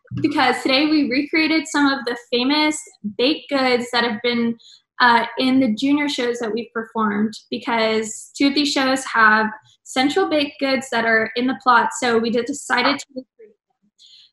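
Talking at a moderate pace, a woman uses a high pitch and fairly even intonation. The background is quiet, though audible room echo is present. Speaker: theater stage manager host. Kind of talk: casual vlog chat. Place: home room. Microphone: video call.

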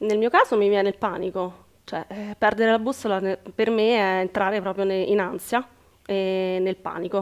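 Over a quiet background, a woman speaks at a moderate pace with a medium pitch and monotone, flat intonation. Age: 40s. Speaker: working mother taking part in a coaching program; interviewee. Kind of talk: personal testimony in an interview. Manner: halting, with repetitions. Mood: reflective, personal. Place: shop. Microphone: headset.

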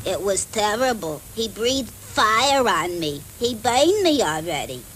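A woman speaks at a moderate pace with a fairly high pitch and very wide pitch swings. Background noise is clearly audible. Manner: dramatic, upset.

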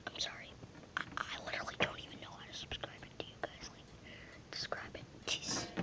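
A man whispers at a fairly quick pace with long, frequent pauses and big swings in loudness over noticeable background noise. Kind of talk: ASMR video. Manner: whispered.

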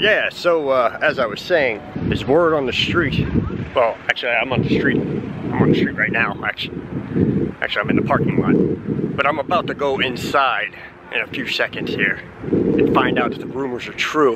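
Against loud background noise, a man talks at a moderate pace with ordinary pitch variation, the sound dry with no echo. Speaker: theme park vlogger. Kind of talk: casual vlog chat. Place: street. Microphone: phone near.

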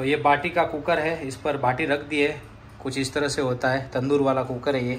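A man speaks at a moderate pace and a fairly high pitch. His intonation is monotone and flat, with light background noise. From Rajasthan, India. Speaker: vlogger. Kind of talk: casual vlog narration. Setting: at home. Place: home room. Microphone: phone near.

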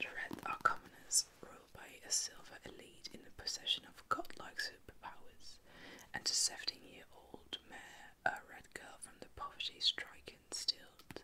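Noticeable background noise runs behind whispering delivered at a moderate pace. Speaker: ASMR creator. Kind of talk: reading book blurb.

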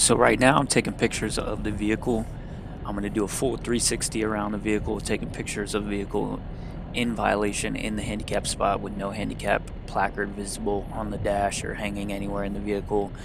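A man talks very fast in a dry recording with no echo, and there is noticeable background noise. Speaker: tow truck driver channel host. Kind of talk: commentary. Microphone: headset.

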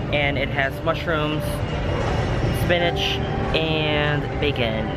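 A man is speaking. Music plays in the background. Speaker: travel vlogger. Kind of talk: casual vlog chat. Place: station. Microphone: phone near.

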